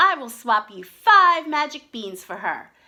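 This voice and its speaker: In a put-on character voice, a woman sounds croaky and high-pitched with very wide pitch swings, in a very clean recording with a silent background. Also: fairly slow pace. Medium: read story.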